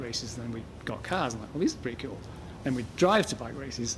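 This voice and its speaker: At a very fast pace, a man with an English accent talks in a medium pitch with ordinary pitch variation. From England. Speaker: motorsport parts business owner and rally driver. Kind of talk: casual interview. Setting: his shop. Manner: halting, repeats words.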